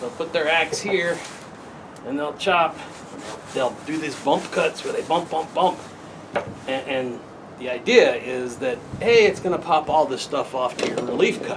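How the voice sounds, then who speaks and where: A man with a fairly high pitch and relaxed tone, long, frequent pauses, and noticeable background noise. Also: ordinary pitch variation, moderate pace. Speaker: hobby woodcarver. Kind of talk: casual tutorial talk to camera. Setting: outdoors. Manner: relaxed, talkative.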